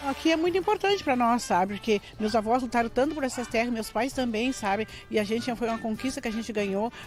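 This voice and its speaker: A woman talks at a very fast pace with hardly any pauses. Music plays in the background. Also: fairly high pitch for a woman, ordinary pitch variation. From Porto Alegre, southern Brazil. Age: 60s. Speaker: quilombo resident. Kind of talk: documentary interview.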